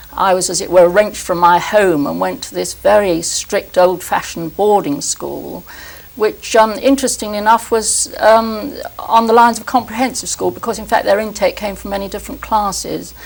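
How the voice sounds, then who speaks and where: A woman speaks with a southern English accent at a moderate pace. Noticeable background noise runs behind her. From London, England. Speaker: historian. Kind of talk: interview conversation. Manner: halting.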